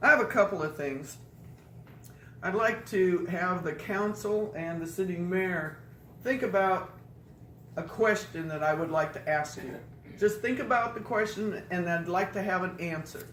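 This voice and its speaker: A woman speaks at a moderate pace and medium pitch, with ordinary pitch variation. Long, frequent pauses break up her speech, and the room echo is audible. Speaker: public commenter at council meeting. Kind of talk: public comment. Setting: city council meeting. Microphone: speaking without microphone.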